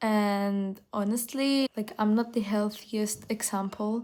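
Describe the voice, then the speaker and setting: With a non-native accent, the speaker keeps fairly even intonation on a very clean recording with a silent background. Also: woman. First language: not English. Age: young. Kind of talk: casual talk to camera. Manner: hesitant, many fillers.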